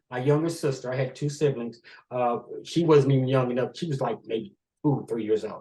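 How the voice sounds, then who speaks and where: Speaking at medium pitch, a man sounds somewhat breathy. He moves at a fairly quick pace with ordinary pitch variation. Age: 70s. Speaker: author and interview guest. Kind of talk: personal storytelling interview.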